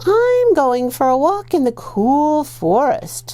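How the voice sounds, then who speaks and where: There is light background noise as a woman puts on a character voice, pitched high. She speaks at a fairly slow pace. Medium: read story. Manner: sly.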